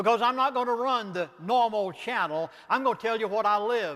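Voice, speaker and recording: This man has a Southern US accent and a high pitch. His tone is bright and sharp. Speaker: pastor and author. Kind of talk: lecture. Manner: fast; animated.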